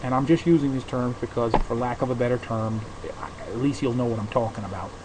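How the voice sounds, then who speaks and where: A man with an American accent, medium pitch and fairly even intonation, plus noticeable background noise. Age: 50s. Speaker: podcaster. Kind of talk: casual monologue. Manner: halting.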